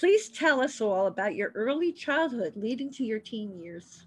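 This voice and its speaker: Over a quiet background, a woman talks at a moderate pace with an American accent. Her fairly high pitch moves in very wide pitch swings. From Miami, Florida. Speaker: podcast host and author. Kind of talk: scripted introduction; interview. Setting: studio.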